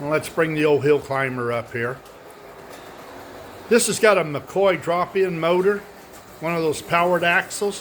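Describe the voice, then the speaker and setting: There is noticeable background noise as a man with a high pitch talks in a relaxed tone at a moderate pace. His pitch variation is ordinary, and he takes long, frequent pauses. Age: 70s. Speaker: model railroad hobbyist. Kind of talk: casual show-and-tell video. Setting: indoors at home, upstairs workshop. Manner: relaxed, halting with many fillers.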